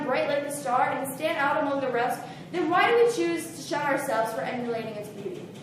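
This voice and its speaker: A woman talks at a fairly quick pace in a high pitch. Noticeable background noise sits behind her. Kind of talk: slam poetry reading.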